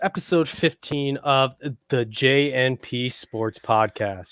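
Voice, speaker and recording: A man speaks with an American accent. The sound is dry and close with no echo, and the recording is very clean with a silent background. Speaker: sports podcast co-host. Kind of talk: casual chat.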